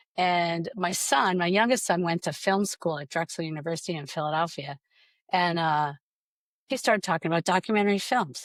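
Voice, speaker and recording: In a very clean recording with a silent background and a dry, close sound with no echo, a woman speaks at a fairly quick pace with fairly low pitch and ordinary pitch variation. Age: 60s. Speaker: film and theatre producer. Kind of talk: interview. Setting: podcast. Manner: hesitant, many fillers.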